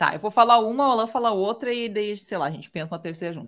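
This woman has a normal speaking voice with a fairly high pitch. Her intonation is lively. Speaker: guest. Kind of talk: casual chat. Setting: video call.

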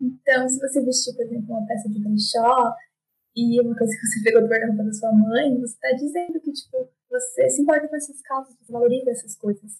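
At a very fast pace, a woman speaks in a high pitch with big swings in loudness. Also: fairly even intonation. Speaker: fashion designer. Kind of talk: casual interview.

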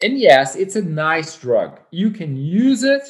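A man with a Portuguese accent speaks with lively intonation. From Brazil. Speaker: yoga teacher. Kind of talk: casual chat.

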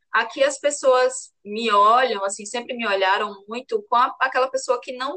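In an ordinary speaking voice, a woman talks fairly slowly at a fairly high pitch that varies in an ordinary way. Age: 30s. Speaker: lawyer. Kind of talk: interview.

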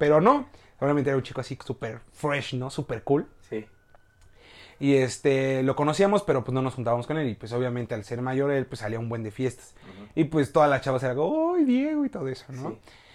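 With a plain, everyday voice, a man talks at a fairly quick pace and medium pitch, with ordinary pitch variation and big swings in loudness. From Mexico, Hidalgo (Tulancingo). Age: 20s. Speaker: university communication student. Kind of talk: casual chat. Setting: host's home, filmed video podcast.

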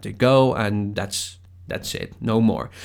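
The recording is very clean, with a silent background. A man speaks at a fairly slow pace. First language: Spanish. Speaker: podcast host. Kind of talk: casual solo talk. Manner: halting.

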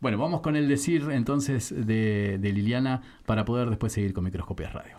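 On a very clean recording with a silent background, a man speaks at medium pitch and a moderate pace, his tone dark and mellow and his intonation lively. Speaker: radio host. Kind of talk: casual chat.

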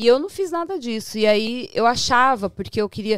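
A woman with a plain, everyday voice talks at a moderate pace and a fairly high pitch. The recording is very clean, dry and close, with no echo and a silent background. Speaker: journalist and TV presenter. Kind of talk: casual chat.

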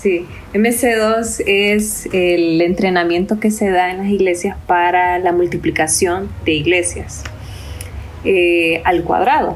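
The speech moves at a very slow pace with fairly even intonation. Audible room echo and noticeable background noise come through. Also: woman, medium pitch for a woman. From Honduras. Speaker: missionary ministry worker. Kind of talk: podcast interview.

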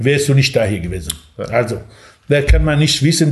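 The speaker is a man with medium pitch. He speaks in a Kurdish accent. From Iranian Kurdistan (Sanandaj). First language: Kurdish (speaking German). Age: 60s. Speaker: café owner. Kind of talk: interview.

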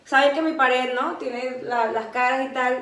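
A woman's high voice comes through audible room echo and noticeable background noise. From Venezuela, Caracas. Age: 30s. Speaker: podcast co-host. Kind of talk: casual chat. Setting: at co-host's home.

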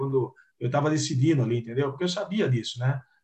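Here is a man with an unremarkable speaking voice, talking at a fairly quick pace with lively intonation. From Piracicaba, interior of São Paulo. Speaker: retired footballer. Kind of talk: interview.

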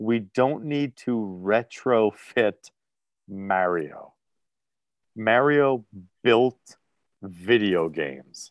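A man with a New Jersey accent and a medium pitch speaks at a very slow pace, with lively intonation and long, frequent pauses, in a dry, close sound with no echo. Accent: New Jersey American. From New Jersey, US. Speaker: podcast host. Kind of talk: casual chat.

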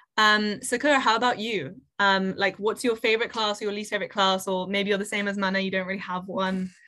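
A woman talks in a plain, everyday voice at a medium pitch. Her pace is fairly quick. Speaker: podcast host. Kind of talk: casual chat.

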